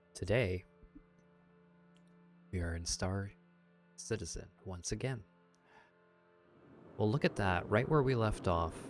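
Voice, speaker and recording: Music plays in the background as a soft-spoken man talks in a calm tone with a fairly low pitch. His pace is fairly slow, with long, frequent pauses. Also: ordinary pitch variation. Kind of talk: sleep-friendly gaming commentary, casual talk to camera. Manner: soft-spoken, calm, friendly.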